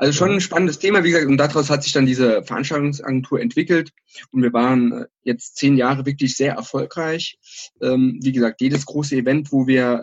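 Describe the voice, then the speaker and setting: A normal speaking voice moves at a fairly quick pace, with ordinary pitch variation and very even loudness. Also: man. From Saarland, Germany. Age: 30s. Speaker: entrepreneur. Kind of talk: interview. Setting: phone or video call.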